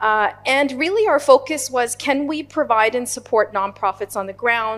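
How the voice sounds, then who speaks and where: A woman with a non-native accent at a fairly quick pace, music in the background. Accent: non-Indian. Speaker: nonprofit leader. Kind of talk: panel discussion.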